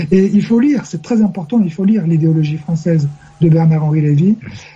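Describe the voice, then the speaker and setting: Noticeable noise accompanies speech delivered at a moderate pace. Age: 60s. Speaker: radio host. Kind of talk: heated debate. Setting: web radio call-in show. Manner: halting.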